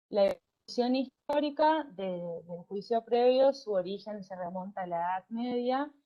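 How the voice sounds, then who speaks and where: Lively intonation at a fairly slow pace, with big swings in loudness. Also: woman, fairly high pitch for a woman. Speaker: law lecturer. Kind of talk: online university lecture. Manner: hesitant with fillers and repetitions.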